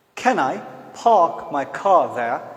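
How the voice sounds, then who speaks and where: A man with a Pakistani accent speaks at a very slow pace and a high pitch, his pitch swinging very widely. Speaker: English teacher. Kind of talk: tutorial. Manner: demonstrates pronunciation with repeated words.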